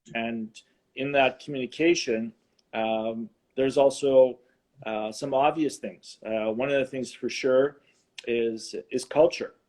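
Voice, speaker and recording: Taking long, frequent pauses, a man with a medium pitch talks at a fairly slow pace in a fairly even intonation. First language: Ukrainian. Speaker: married guest on couples show. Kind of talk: interview conversation. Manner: halting.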